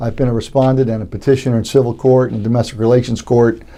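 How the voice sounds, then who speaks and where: A man talks at a very fast pace with an American accent. His tone is dark and mellow. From Florida, Tampa. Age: 60s. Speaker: judicial candidate. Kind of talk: interview. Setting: studio.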